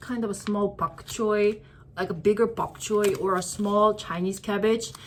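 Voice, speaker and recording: Speaking at a fairly slow pace, a woman talks with a Korean accent. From South Korea. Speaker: vlogger. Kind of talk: casual shopping haul vlog. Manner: hesitant, many fillers.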